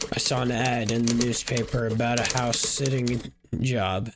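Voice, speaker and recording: A man does a raspy put-on character voice at medium pitch and a moderate pace. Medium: game stream. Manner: polite.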